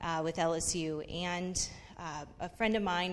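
With an American accent, a woman speaks in a fairly low pitch and a monotone, flat intonation. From US Pacific Northwest, Seattle. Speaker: church member giving testimony. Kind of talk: testimony. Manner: halting, many fillers.

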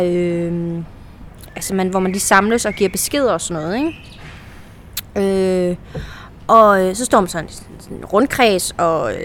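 A woman talks at a medium pitch with ordinary pitch variation. It is a plain, everyday voice. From central Jutland, Denmark. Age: 30s. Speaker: actress. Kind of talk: casual chat. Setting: outdoors.

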